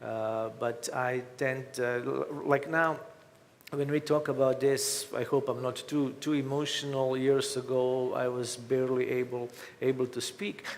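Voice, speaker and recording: Over noticeable background noise, a man with a Croatian accent speaks at a fairly slow pace in a medium pitch with monotone, flat intonation. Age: 50s. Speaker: author. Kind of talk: interview. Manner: halting.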